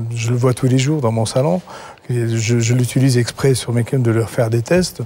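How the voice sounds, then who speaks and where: A man speaks with fairly even intonation and very even loudness. Noticeable background noise runs behind him. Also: medium pitch for a man, moderate pace. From eastern Algeria. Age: 60s. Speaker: hairdresser and product creator. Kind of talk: sales pitch.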